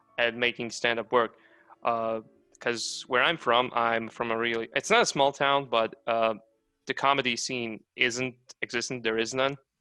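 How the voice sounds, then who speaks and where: Over music in the background, a man speaks in a strong non-native accent with flat, monotone intonation. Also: medium pitch for a man, moderate pace. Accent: strong foreign. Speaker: comic artist and stand-up comedian. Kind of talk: casual chat.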